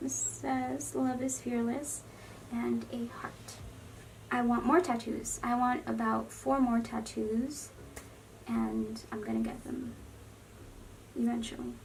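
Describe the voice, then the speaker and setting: A woman talks at a very slow pace with long, frequent pauses. The recording carries noticeable background noise and audible room echo. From Los Angeles, California. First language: Spanish. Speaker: beauty vlogger. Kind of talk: casual get-ready-with-me vlog. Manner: chatty, rambling.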